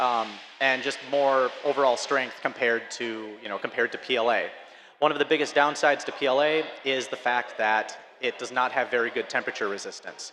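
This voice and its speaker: A man speaks with an Upper Midwest accent at a fairly quick pace, using a medium pitch and fairly even intonation. Noticeable background noise runs underneath. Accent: Upper Midwest (Fargo). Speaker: filament company representative. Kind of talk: conference presentation.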